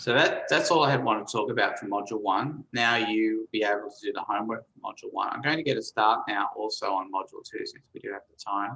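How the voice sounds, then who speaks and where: A man talking at a very fast pace with hardly any pauses. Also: big swings in loudness. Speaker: chemistry professor. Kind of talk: lecture.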